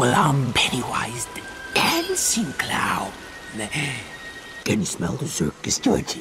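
Someone does a put-on character voice that is raspy, at a fairly slow pace. Faint music plays in the background. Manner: menacing, sinister.

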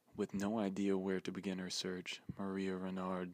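Soft-spoken, a man talks at a fairly slow pace. His very deep, low voice holds a monotone, flat intonation. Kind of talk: ASMR manual reading.

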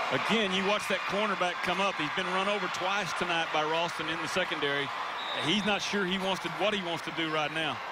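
This man's voice is high-pitched and animated, moving at a fairly quick pace. His loudness stays very even, while noticeable background noise runs underneath. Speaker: football analyst. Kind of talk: live sports commentary. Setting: stadium broadcast booth. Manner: animated, quick-paced analysis between plays.

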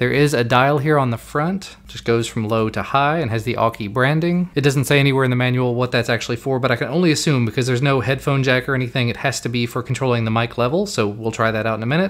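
At a fast pace, a man talks at medium pitch with ordinary pitch variation.

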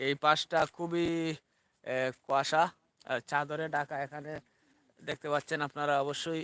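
The sound is dry and close with no echo. A man with a fairly high pitch and a bright, sharp tone speaks in a monotone, flat intonation. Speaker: village vlogger. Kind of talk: live stream vlog. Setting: outdoors. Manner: repetitive.

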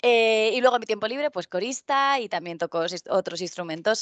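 Over a quiet background, a woman in a normal speaking voice uses lively intonation at a fairly slow pace, the sound dry with no echo. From Spain, Albacete (Castilla-La Mancha); Castilla-La Mancha, Spain. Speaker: tech conference speaker; conference speaker. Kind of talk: conference talk. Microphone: headset.

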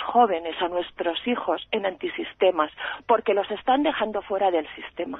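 Over a quiet background, a woman speaks at a moderate pace with ordinary pitch variation, the sound dry with no echo. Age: 40s. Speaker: radio caller. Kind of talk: call-in opinion. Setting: phone call. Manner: impassioned. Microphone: phone line.

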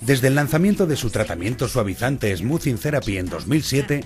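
Clear music plays in the background as a man speaks with very wide pitch swings. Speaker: voice actor. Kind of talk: TV commercial read. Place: studio.

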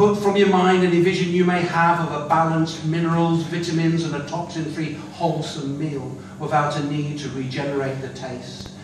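A man at a moderate pace with hardly any pauses and fairly even intonation, audible room echo and noticeable background noise. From northern England, Manchester. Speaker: poet. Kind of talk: poetry performance. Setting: stage with audience. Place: hall.

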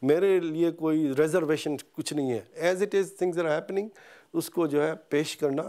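Against a quiet background, a man with a fairly high pitch and a dark, mellow tone speaks at a fairly slow pace with fairly even intonation. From Pakistan. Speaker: veterinarian; interviewee. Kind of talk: interview. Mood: earnest, calm. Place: home room. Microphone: lapel.

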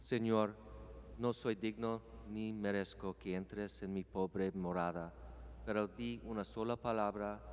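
A man speaks very slowly in a very deep, low voice, with very wide swings in pitch. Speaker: congregation member; priest celebrating Mass. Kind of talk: prayer responses; liturgical prayer. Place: church.

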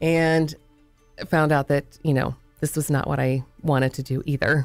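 With music in the background, a woman speaks at a moderate pace in a very deep, low pitch and a monotone, flat intonation. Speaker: voice actor. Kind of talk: interview answer.

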